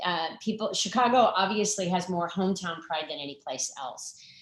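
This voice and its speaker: A woman's medium-pitched voice in an American accent, moderate in pace with ordinary pitch variation, plus audible room echo. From Arizona. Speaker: nonprofit founder. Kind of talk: talk to online audience. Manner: animated.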